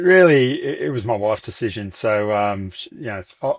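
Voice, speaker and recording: With an Australian accent, a man talks at a moderate pace in a very clean recording with a silent background and a dry, close sound that has no echo. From regional Australia. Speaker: business owner. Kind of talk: interview. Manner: halting.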